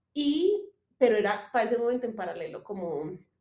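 The woman's voice is high-pitched, with a dark, mellow tone. She talks at a moderate pace. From Colombia, Manizales. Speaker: clothing designer, former lawyer. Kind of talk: casual interview chat.

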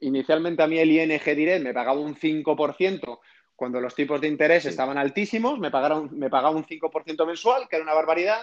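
In an ordinary speaking voice, a man with a fairly high pitch talks at a fairly quick pace with ordinary pitch variation. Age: 30s. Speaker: entrepreneur and investor. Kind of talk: interview.

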